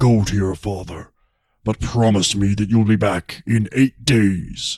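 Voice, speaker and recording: Using a put-on character voice, a man speaks at a fairly slow pace and a fairly low pitch. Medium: read story.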